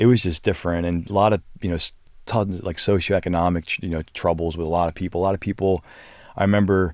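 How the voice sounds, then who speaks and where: Talking at a very fast pace with an American accent, a man has a very deep, low pitch and fairly even intonation. The recording is very clean, with a silent background. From US, South Philadelphia. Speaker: media strategy director. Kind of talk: casual podcast interview. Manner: halting, many fillers.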